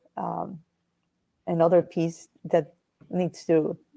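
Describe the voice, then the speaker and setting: A woman speaks very slowly with a Spanish accent. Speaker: panelist. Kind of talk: panel discussion.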